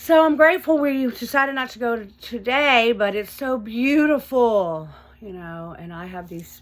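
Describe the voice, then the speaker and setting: A high-pitched woman at a moderate pace, with very wide pitch swings and big swings in loudness. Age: 50s. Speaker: recovery vlogger and online support group founder. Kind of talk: casual personal vlog. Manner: hesitant, many fillers.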